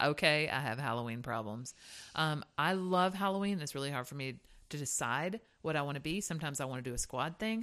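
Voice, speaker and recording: In a Southern US accent, a woman with a very deep, low pitch talks very fast with lively intonation on a very clean recording with a silent background. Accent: Southern US (Georgia). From US South (Hazlehurst, Georgia). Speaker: podcast co-host, singer. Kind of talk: casual chat.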